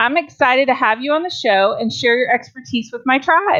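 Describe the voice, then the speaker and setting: This woman has a high-pitched voice with a slight Southern US accent. Her pitch varies in an ordinary way. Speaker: podcast host, dietitian. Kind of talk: interview.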